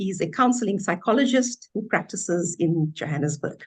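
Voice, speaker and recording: Somewhat breathy and at a medium pitch, a woman talks at a moderate pace with lively intonation. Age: 60s. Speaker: businesswoman and former law lecturer. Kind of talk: webinar self-introduction.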